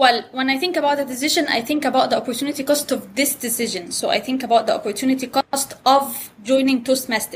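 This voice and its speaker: A woman with an Arabic accent talks very fast in a high pitch, with ordinary pitch variation, hardly any pauses and noticeable background noise. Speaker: economics professor. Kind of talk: interview. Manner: animated.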